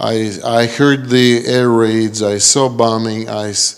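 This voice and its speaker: A man speaks here. His intonation is flat and monotone. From Ukraine. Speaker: missionary pastor. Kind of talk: testimony. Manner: halting.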